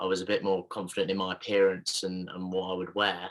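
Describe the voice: Low in pitch with a bright, sharp tone, a man speaks at a moderate pace.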